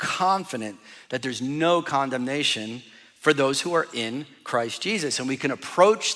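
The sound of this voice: With lively intonation, the text is read in an unforced reading voice.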